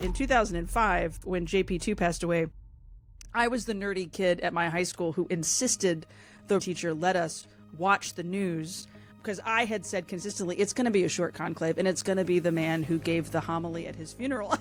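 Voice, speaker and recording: Fairly low in pitch, a woman speaks in an enthusiastic tone at a fairly quick pace while music plays in the background. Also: ordinary pitch variation. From Louisiana. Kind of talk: interview answer. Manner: enthusiastic, chatty.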